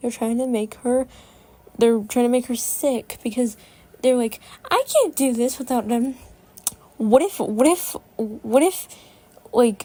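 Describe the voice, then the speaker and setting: A woman speaks at a fairly slow pace in a high voice, with ordinary pitch variation, long and frequent pauses, and noticeable background noise. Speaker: cartoon episode reviewer. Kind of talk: casual commentary review. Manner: halting, many fillers and stutters; rambling, repetitive.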